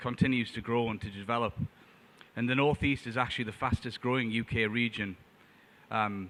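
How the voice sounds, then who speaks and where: A medium-pitched man with a northern English accent, at a fairly quick pace with ordinary pitch variation. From northern England, Tyneside. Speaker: trade adviser. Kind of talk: conference presentation. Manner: hesitant, many fillers.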